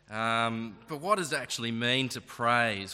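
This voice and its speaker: A man with an Australian accent, his voice medium in pitch with a bright, sharp tone, on a very clean recording with a silent background. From Tasmania, Australia (Launceston). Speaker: preacher. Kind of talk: sermon.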